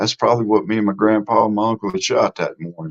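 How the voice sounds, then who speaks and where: In a Mississippi accent, a man talks at a very fast pace. His medium pitch has a dry, close sound with no echo. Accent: Southern US (Mississippi). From US South, Mississippi. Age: 60s. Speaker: live streamer, YouTube host. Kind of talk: casual live stream chat. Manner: informal, folksy.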